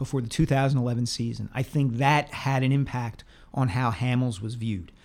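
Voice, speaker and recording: A man's medium-pitched delivery in an ordinary speaking voice. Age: 40s. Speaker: sports columnist podcast co-host. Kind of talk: casual sports talk.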